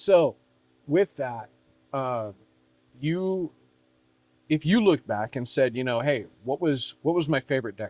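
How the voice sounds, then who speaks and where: A man speaks at a fairly slow pace with a fairly high pitch, lively intonation and long, frequent pauses. The recording is very clean, with a silent background. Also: dry, close sound with no echo. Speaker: podcast host, coach. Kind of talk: casual chat.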